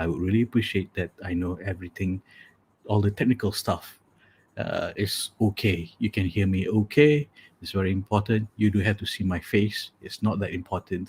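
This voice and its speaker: The voice is somewhat breathy, with fairly even intonation and a moderate pace, in a dry, close sound with no echo on a very clean recording with a silent background. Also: man, fairly low pitch for a man. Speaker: matchmaking coach and live show host. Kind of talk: casual livestream chat. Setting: live video stream from home office. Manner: low-energy late-night voice.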